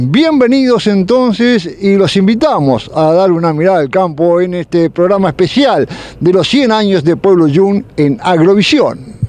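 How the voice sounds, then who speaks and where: Over noticeable background noise, a man talks at a fairly slow pace with high pitch, lively intonation and very even loudness. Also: hardly any pauses. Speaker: TV farm program host. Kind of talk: interview; TV program presenting. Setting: outdoors at the railway station.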